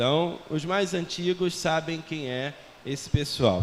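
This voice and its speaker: Against noticeable background noise, a man with a fairly high voice speaks at a fairly slow pace with ordinary pitch variation. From Portugal. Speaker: missionary. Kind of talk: sermon. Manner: conversational.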